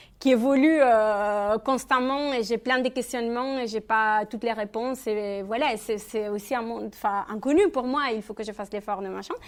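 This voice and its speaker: On a very clean recording with a silent background, a woman with a Spanish accent speaks at a moderate pace with hardly any pauses, her fairly high voice kept fairly even in intonation. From Spain, Catalonia. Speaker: feminist activist, speaker. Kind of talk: Q&A answer at public talk. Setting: public conference hall. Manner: halting, many fillers.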